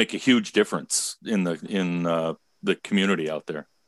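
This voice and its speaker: Heard dry and close with no echo over a quiet background, a man with an unremarkable speaking voice talks at a moderate pace with ordinary pitch variation. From Michigan. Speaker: podcast host, prevention specialist. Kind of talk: interview.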